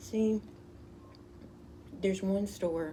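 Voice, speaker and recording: A woman with a Southern accent at a very slow pace. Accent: Southern, sounds country. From US South, Louisiana. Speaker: tarot card reader. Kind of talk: casual card reading vlog. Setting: outdoors. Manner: halting, self-correcting.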